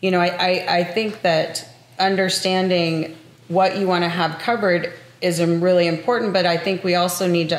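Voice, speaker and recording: The voice moves at a moderate pace with fairly even intonation and very even loudness. Audible room echo surrounds it. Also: woman. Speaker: podcast host. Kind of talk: casual interview. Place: home room.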